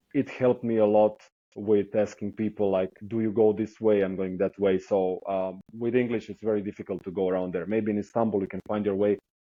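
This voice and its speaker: A man with a Croatian accent, fairly low in pitch, at a fairly quick pace, in a monotone, flat intonation. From southern coastal Croatia. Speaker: traveler, hitchhiker. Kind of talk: podcast interview. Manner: hesitant, with fillers.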